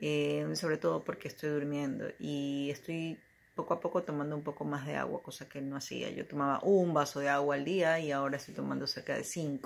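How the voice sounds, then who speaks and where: A woman talking at a fairly quick pace with hardly any pauses. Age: 40s. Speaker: client giving a testimonial. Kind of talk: testimony. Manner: halting. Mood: calm, reflective. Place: home room. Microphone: phone near.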